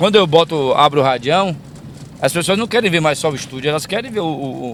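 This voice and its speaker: Lively intonation marks a man's fairly high-pitched voice at a moderate pace, heard over noticeable background noise. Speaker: radio broadcaster and announcer. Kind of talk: interview answer, casual conversation while driving.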